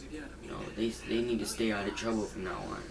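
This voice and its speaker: At a fairly quick pace, a man speaks with a medium pitch. Audible room echo and noticeable background noise are present. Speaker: gaming channel vlogger. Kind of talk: casual vlog monologue. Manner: halting, repetitive.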